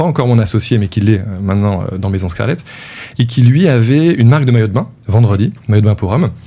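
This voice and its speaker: Over noticeable background noise, a man at medium pitch talks at a fairly quick pace with lively intonation. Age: 30s. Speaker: e-commerce entrepreneur. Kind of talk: interview. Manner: casual, hesitant with many fillers.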